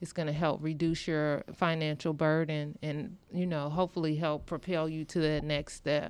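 Here a woman with an American accent talks at a fairly low pitch. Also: very clean recording, silent background. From US Midwest, rural Illinois. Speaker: hospital pharmacist. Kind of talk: interview.

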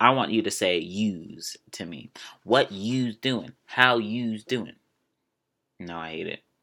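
With an American accent, a man speaks very slowly at a medium pitch, his tone bright and sharp and his loudness swinging widely. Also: ordinary pitch variation. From Maryland, US. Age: 20s. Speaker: podcast host. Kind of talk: casual chat, monologue. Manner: animated, playful.

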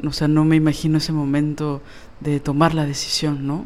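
Fairly slowly, a woman speaks with a very deep, low pitch. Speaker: podcast co-host. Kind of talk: casual chat.

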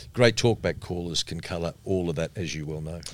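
A man with an Australian accent speaks at a fairly quick pace, his very deep, low pitch showing ordinary variation. The recording is very clean, with a silent background. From Melbourne, Australia. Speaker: radio broadcaster and media trainer. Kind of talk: casual interview.

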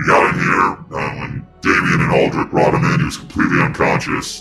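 A man performs a put-on character voice at a moderate pace. Faint music plays behind him. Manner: profane, blunt, weary.

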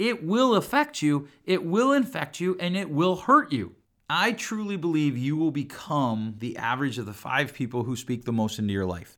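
Loud and animated, a man speaks at a fairly high pitch with very wide pitch swings on a very clean recording with a silent background. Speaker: podcast host and counselor. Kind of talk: solo podcast monologue. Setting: studio recording.

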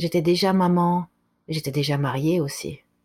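A woman talks at a very deep, low pitch in a somewhat breathy voice. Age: 40s. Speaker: author and speaker. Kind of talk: interview.

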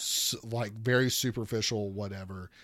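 A man speaks at a fairly slow pace on a very clean recording with a silent background. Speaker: returning podcast guest. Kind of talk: casual chat.

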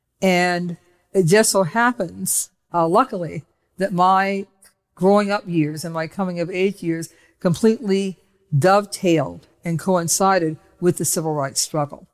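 Over music in the background, a woman with an American accent speaks at a fairly slow pace. Her pitch is fairly low, with ordinary variation. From Cleveland, Ohio, US Midwest. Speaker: activist. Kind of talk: interview.

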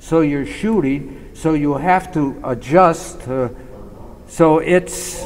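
A man with a fairly high voice, plus noticeable background noise and audible room echo. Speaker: war veteran. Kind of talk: interview reminiscence.

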